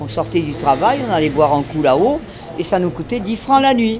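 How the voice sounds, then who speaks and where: A woman's pitch swings very widely as she speaks at a moderate pace, with noticeable background noise in the clip. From southwestern France, Hautes-Pyrénées near Lourdes. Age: 80s+. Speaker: retired telephone operator, neighbourhood resident. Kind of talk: casual interview chat.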